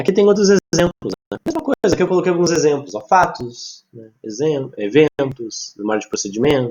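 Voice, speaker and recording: A man with a fairly high pitch talks with very wide pitch swings, big swings in loudness, and hardly any pauses. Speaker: psychology lecturer. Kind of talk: online lecture. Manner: fast.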